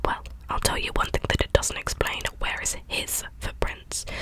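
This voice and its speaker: A whisper at moderate speed, noticeable noise in the background. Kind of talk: audiobook-style reading, ASMR bedtime reading. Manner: soft-spoken.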